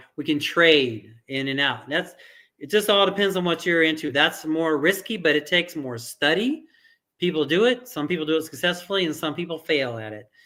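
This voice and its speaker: At a moderate pace, a man speaks with fairly high pitch and ordinary pitch variation. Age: 50s. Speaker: crypto investor and trading educator. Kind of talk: tutorial. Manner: halting, many restarts and fillers.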